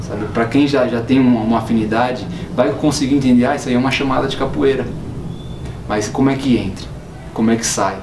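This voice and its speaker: A man speaks at a very fast pace in a medium pitch. Noticeable background noise is present. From Ceará, northeastern Brazil. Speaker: dancer and dance company director. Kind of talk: documentary interview answer.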